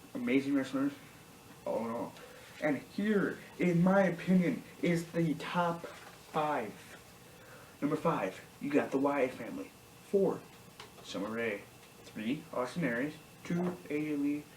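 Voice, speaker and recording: A woman speaks quietly, her very deep, low voice carrying lively intonation at a fairly slow pace with long, frequent pauses, amid noticeable background noise and audible room echo. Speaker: YouTube wrestling commentator. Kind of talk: casual vlog commentary. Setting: at home. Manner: quiet, hushed.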